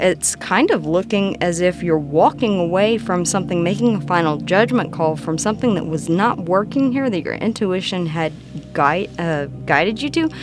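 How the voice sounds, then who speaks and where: At a moderate pace, a woman talks in a fairly low voice with ordinary pitch variation over noticeable background noise. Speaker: tarot reader. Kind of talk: tarot reading.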